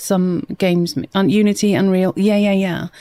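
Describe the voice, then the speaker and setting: Soft-spoken, with a British accent and a dark, mellow tone, on a very clean recording with a silent background. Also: woman. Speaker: gaming streamer. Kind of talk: live gameplay stream chat. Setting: live stream.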